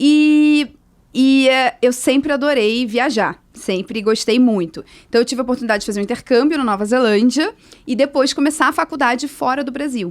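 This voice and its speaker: A woman speaks at a high pitch with a Rio de Janeiro accent. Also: ordinary pitch variation, moderate pace. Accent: Rio de Janeiro (carioca). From Brazil, Rio de Janeiro. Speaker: social entrepreneur. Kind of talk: interview.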